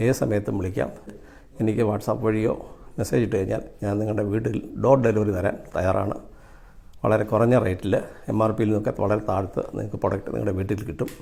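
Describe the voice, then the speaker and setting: A man's dark, mellow voice sits fairly low in pitch, with vocal fry and fairly even intonation. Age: 60s. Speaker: customer and product distributor. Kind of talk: testimony.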